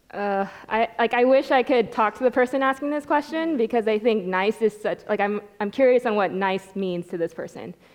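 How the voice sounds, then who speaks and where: Her pitch is fairly high, with ordinary pitch variation. The woman keeps a moderate pace with hardly any pauses. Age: 30s. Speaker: church panelist. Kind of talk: panel discussion.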